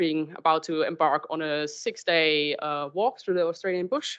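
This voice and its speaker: The speaker talks with a German accent. Intonation is fairly even and the pace is moderate. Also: woman. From Germany. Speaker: marine scientist. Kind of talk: public talk. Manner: halting.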